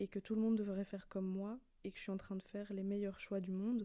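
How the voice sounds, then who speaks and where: Her voice has a dark, mellow tone as this woman talks at a fairly quick pace, keeping a medium pitch with monotone, flat intonation. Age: 20s. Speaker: podcast host and track athlete. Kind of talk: solo podcast monologue. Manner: casual, conversational.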